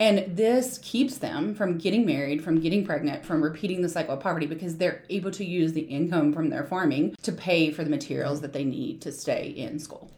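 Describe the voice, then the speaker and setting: A woman with an American accent talks with hardly any pauses, using a fairly low pitch and lively intonation. Background noise is noticeable. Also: fairly quick pace. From US South, southern West Virginia. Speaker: nonprofit founder. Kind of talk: interview.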